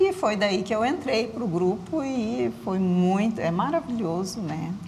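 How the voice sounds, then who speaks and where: Over noticeable background noise and audible room echo, a woman speaks fairly slowly at a medium pitch, her voice swinging very widely in pitch. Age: 60s. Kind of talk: TV interview.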